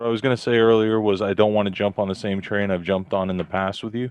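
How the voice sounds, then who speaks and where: A man with a fairly low pitch speaks at a moderate pace. His intonation is monotone and flat. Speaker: online game player. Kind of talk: casual chat. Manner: mumbling, stumbling.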